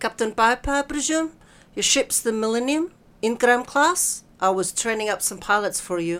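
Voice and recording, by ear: Someone is reading aloud in a natural voice. The intonation is lively.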